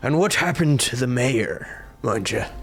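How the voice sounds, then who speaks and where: Clear music plays in the background as someone performs a put-on character voice at a moderate pace. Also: man, medium pitch for a man. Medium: actual play. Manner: formal, archaic phrasing.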